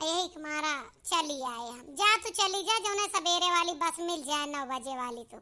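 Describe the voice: A woman uses a cartoonish character voice at an extremely high pitch, speaking at a moderate pace with lively intonation. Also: big swings in loudness.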